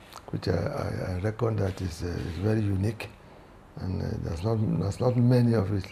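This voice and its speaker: A man speaks at a moderate pace, his pitch varying in an ordinary way, with noticeable background noise behind him. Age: 70s. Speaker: retired naval officer and club member. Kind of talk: interview. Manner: halting, with many repetitions.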